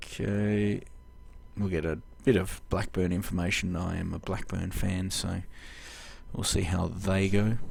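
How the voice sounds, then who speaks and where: A man with an Australian accent and a very deep, low pitch, at a fairly slow pace with long, frequent pauses, in audible room echo. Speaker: video game let's-play host. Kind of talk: gameplay commentary. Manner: halting, many fillers.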